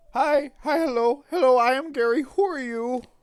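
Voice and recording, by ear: In a high-pitched, put-on character voice, someone is shouting. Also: moderate pace.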